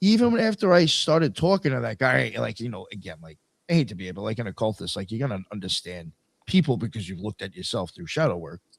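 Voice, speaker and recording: A man with a fairly low pitch talks at a very fast pace with very wide pitch swings, big swings in loudness and vocal fry. The sound is dry and close with no echo. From New York, Long Island (Suffolk County). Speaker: podcast host. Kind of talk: casual chat. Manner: animated.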